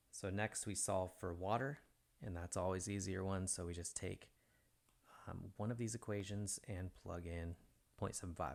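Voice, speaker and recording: This man's pitch is very deep and low. He talks at a moderate pace. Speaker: math teacher. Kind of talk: lecture.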